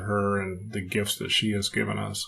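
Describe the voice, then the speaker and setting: Noticeable background noise accompanies a male voice with an American accent. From California, US. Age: 60s. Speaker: retired executive and author. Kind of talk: podcast interview.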